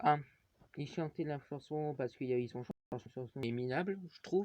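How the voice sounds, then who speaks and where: A man's fairly high voice with ordinary pitch variation, in a dry, close sound with no echo and a quiet background. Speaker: wrestling YouTuber. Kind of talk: show review. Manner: halting, many fillers.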